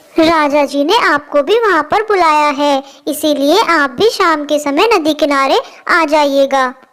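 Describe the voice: This is a cartoonish character voice that sounds female. It sits at a high pitch. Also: moderate pace.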